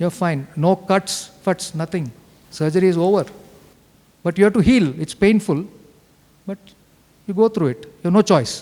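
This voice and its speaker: A man's high voice with a South Indian accent, ordinary pitch variation, a moderate pace, long, frequent pauses and noticeable background noise. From India, Bengaluru. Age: 60s. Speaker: cancer survivor, retired engineer. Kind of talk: testimony talk. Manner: animated, conversational.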